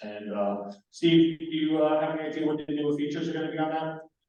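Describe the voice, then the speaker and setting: Audible room echo accompanies a man speaking with an American accent. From New York. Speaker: amateur radio presenter. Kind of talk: technical presentation. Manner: fast.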